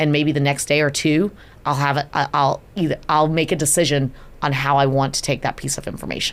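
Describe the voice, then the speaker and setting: A woman talks fairly quickly in a very deep, low pitch. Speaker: event agency CEO. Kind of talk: podcast interview. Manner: fast; animated.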